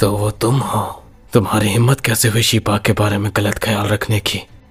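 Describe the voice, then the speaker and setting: A put-on character voice, monotone and flat, at a fairly quick pace. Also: man, fairly low pitch for a man. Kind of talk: drama dubbing. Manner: stern, commanding.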